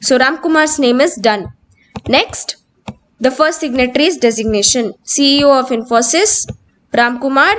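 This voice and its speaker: Her voice is high-pitched, and the woman moves at a moderate pace with ordinary pitch variation. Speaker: computer skills teacher. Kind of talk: tutorial.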